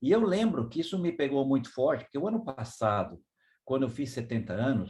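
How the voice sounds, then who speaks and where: This man talks at a fairly quick pace in a medium-pitched, somewhat breathy voice. His pitch swings very widely. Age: 70s. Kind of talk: devotional talk. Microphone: too quiet for some listeners.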